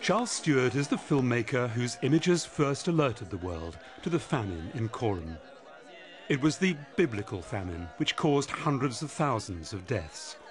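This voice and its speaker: Over music in the background, a man with a medium-pitched voice talks at a moderate pace, his pitch swinging very widely. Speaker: documentary narrator. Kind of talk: documentary narration.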